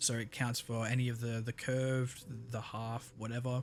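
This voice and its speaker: A man speaks at a fairly slow pace with monotone, flat intonation. His voice is somewhat breathy. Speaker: gaming video creator. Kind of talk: let's play commentary.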